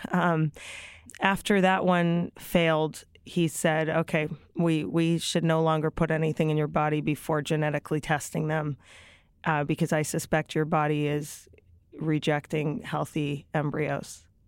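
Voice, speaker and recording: A woman's very deep, low pitch, monotone and flat, at very even loudness, on a very clean recording with a silent background. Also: fairly slow pace. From Toronto, Canada. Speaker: author and relationship expert. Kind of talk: interview testimony.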